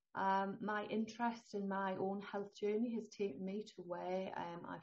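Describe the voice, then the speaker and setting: With a northeast English accent, a woman talks at a moderate pace. Her voice is somewhat breathy, with ordinary pitch variation. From northeast England. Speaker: holistic health consultant. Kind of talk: interview.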